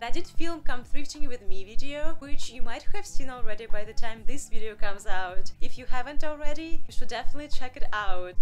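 Her loudness swinging widely, a woman talks fast-ish at a high pitch while faint music plays in the background. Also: hardly any pauses. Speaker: vlogger. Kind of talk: casual vlog chat. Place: home room.

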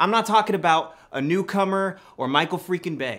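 A man speaks at a moderate pace. Nothing much is heard behind him. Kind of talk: acted dialogue, opinionated rant. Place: home room.

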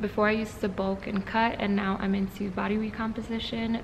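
A woman's monotone, flat intonation is heard against noticeable background noise. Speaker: fitness vlogger. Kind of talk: casual vlog chat. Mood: relaxed, friendly. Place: gym. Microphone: phone near.

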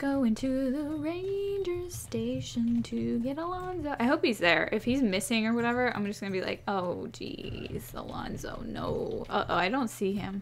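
With hardly any pauses, a woman speaks at a fairly slow pace over noticeable background noise. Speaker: gaming YouTuber. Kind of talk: let's play commentary. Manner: animated.

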